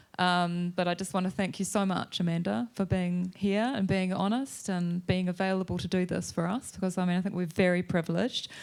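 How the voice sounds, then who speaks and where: A woman with a New Zealand accent at a medium pitch and moderate pace, on a very clean recording with a silent background. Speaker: novelist, event chair. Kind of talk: live onstage conversation. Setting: stage with audience.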